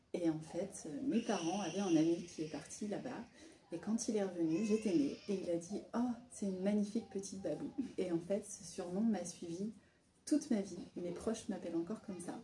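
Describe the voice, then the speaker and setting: A woman at a medium pitch, moderate in pace, with ordinary pitch variation and music in the background. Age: 30s. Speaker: micro-nursery founder. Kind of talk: interview. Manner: hesitant, many fillers.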